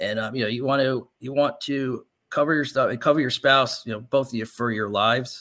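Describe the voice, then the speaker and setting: Recorded very cleanly over a silent background, a man speaks in a bright, sharp tone. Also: medium pitch for a man, fairly even intonation, fairly quick pace. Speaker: financial advisor and radio host. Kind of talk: radio talk show, explaining retirement planning. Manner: conversational, explanatory.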